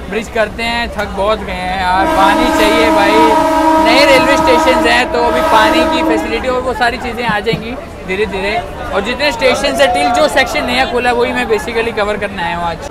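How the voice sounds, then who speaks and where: A man speaks at a moderate pace. Crowd noise can be heard behind him. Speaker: travel vlogger. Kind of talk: casual vlog chat. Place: train. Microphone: phone near.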